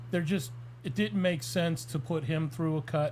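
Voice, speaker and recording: Somewhat breathy male speech, fairly high in pitch, moderate in pace, with ordinary pitch variation. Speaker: fight matchmaker. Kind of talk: casual podcast chat. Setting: live stream. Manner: stuttering tonight.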